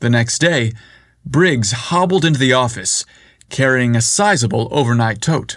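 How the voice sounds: What we hear is a natural reading voice.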